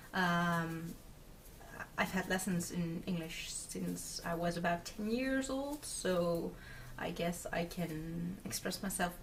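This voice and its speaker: Against noticeable background noise, a woman with a Dutch accent speaks at a fairly low pitch. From Netherlands. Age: 20s. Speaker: craft video podcaster. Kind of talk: casual video podcast chat. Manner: hesitant, many fillers.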